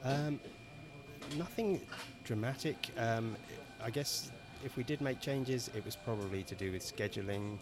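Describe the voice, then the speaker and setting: A man speaks with long, frequent pauses. His pitch varies in an ordinary way. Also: medium pitch for a man, moderate pace. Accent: English. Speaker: film director and screenwriter. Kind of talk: casual interview. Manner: hesitant, filler-heavy.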